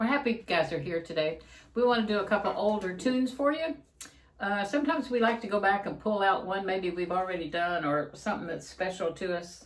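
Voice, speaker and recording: A woman talks at a medium pitch. There is noticeable background noise behind her. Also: lively intonation, fairly quick pace. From eastern Kentucky. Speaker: musician, channel co-host. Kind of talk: casual chat.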